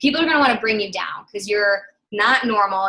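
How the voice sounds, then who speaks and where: A woman speaks in a fairly high pitch with lively intonation. Her tone is bright and sharp. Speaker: guest speaker, fitness coach. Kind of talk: motivational talk on a team call. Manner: fast; animated.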